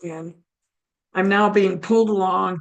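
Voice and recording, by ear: A woman talks at a fairly slow pace in a raspy, medium-pitched voice with fairly even intonation.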